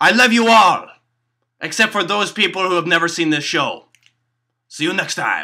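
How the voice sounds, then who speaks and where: Using a cartoonish character voice pitched high, a man talks at a moderate pace with long, frequent pauses. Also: very clean recording, silent background. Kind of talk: comedy puppet vlog to camera.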